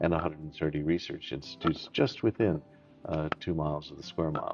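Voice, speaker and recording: Music plays in the background as a man talks at a fairly quick pace. His pitch is very deep and low. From outside the UK, immigrant. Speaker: Lord Mayor, interview guest. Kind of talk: formal interview. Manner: hesitant, many fillers and restarts.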